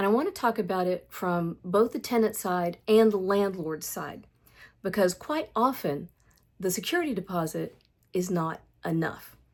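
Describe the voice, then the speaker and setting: A woman speaks in a normal speaking voice at medium pitch and a moderate pace. Her pitch varies in an ordinary way, on a very clean recording with a silent background. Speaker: landlord. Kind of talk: talk to camera.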